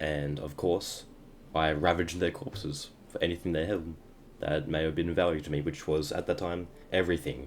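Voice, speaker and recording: This man talks at a fairly quick pace with a very deep, low pitch and fairly even intonation. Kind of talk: gameplay voiceover narration. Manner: stuttering.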